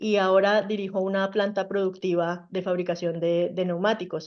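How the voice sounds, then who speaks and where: A woman with a Colombian accent, medium pitch and fairly even intonation at a moderate pace. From Colombia, Bogotá. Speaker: mechanical engineer, plant director. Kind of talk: interview. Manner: hesitant fillers.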